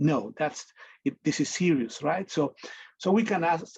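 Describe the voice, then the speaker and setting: At a moderate pace, the speaker talks with a Spanish accent. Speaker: medical interpreter and community advisor. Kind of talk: presentation in a virtual meeting. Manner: halting, many repetitions.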